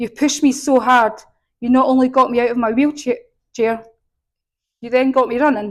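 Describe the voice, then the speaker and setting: A woman with a strong Scottish accent talks at a fairly quick pace in a high pitch, her intonation monotone and flat, broken by long, frequent pauses. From Scotland. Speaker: patient. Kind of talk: speech.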